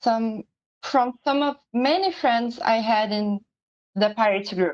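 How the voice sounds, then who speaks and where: Delivered at a very slow pace in a Portuguese accent, the speech shows ordinary pitch variation in a dry, close sound with no echo. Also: woman, fairly high pitch for a woman. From Brazil. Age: 20s. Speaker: pirate community leader. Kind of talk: personal testimony presentation. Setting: live-streamed online symposium.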